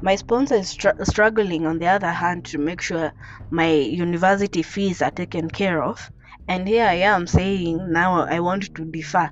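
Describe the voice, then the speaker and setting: Against noticeable background noise, a woman speaks at a moderate pace with a fairly low pitch and ordinary pitch variation. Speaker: podcaster. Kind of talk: personal story monologue. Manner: rambling.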